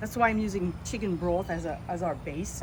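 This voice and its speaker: At a moderate pace, a woman speaks amid audible room echo and noticeable background noise. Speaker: tourism promoter, cooking demo host. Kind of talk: cooking tutorial. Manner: casual, friendly.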